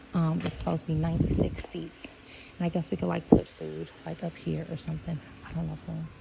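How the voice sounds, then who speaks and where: Noticeable background noise sits under speech at a fairly quick pace. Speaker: event organizer scouting a venue. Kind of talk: casual walkthrough video. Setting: outdoors. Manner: hesitant, many fillers; speaking quietly.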